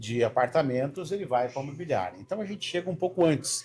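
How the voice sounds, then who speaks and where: A man's dark, mellow voice, somewhat breathy, with lively intonation. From Paraná, southern Brazil (Londrina). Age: 50s. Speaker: sales mentor. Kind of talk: casual chat.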